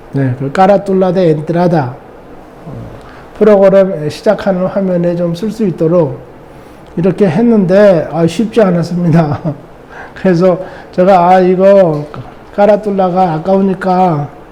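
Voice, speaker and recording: Over noticeable background noise, a high-pitched man speaks at a fairly slow pace with fairly even intonation and long, frequent pauses. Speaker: lecturer, former lecture teacher. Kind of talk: casual talk to camera, recorded monologue.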